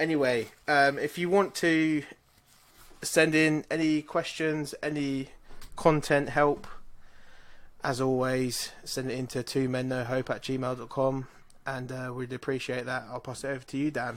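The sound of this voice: Speaking fairly slowly, a man has a medium pitch and a fairly bright tone. His pitch moves little.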